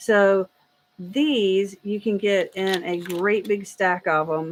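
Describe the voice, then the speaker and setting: A woman with a Southern US accent speaks with ordinary pitch variation. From US South. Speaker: 3D printing streamer. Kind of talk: live stream Q&A. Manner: casual, rambling; loud at times.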